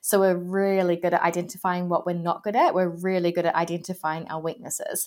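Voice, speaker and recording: In a New Zealand accent, a woman talks at a fairly quick pace with hardly any pauses, her fairly low voice monotone and flat. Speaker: career coach. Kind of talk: interview.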